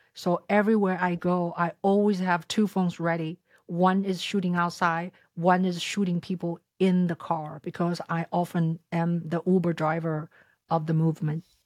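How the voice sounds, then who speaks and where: A woman with a Chinese accent speaks at a fairly low pitch and a moderate pace. Her intonation is monotone and flat, and the sound is dry and close with no echo. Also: very clean recording, silent background. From China, Shanghai. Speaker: content creator and filmmaker. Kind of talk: interview. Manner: halting.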